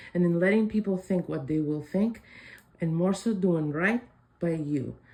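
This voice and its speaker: Dark, mellow tone in a woman's somewhat breathy voice. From Spain, Madrid. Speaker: psychic oracle. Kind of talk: intuitive reading monologue.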